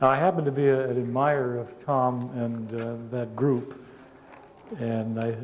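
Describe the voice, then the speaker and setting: In a room with audible echo, a man talks at a medium pitch in a flat, monotone way. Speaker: psychology professor. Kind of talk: conference talk. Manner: halting.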